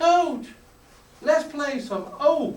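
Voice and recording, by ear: The speaker uses a put-on, squeaky character voice with a high pitch, and there is audible echo.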